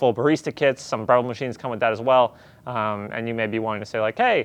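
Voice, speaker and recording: A man speaks at a very fast pace, and the background is quiet. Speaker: coffee gear store staff presenter. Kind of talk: casual unboxing video. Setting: filming alone in store. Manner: casual, halting with many fillers.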